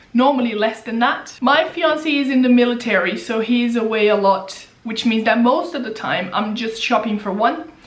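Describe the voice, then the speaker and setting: A woman with a fairly high pitch speaks at a moderate pace with ordinary pitch variation and hardly any pauses, over noticeable background noise and audible room echo. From Brazil. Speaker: personal finance YouTuber. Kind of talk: Q&A casual vlog.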